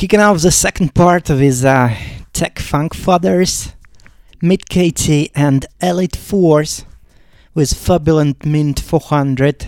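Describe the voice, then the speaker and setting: A man with a Russian accent speaks at a very slow pace in a fairly high pitch, with ordinary pitch variation, on a very clean recording with a silent background. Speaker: radio DJ host. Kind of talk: live DJ radio show with track announcements. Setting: studio.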